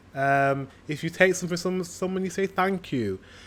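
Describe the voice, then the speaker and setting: A man speaks with a northern English accent. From northern England. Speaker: reaction video creator. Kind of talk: casual reaction commentary. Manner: hesitant, filler-heavy.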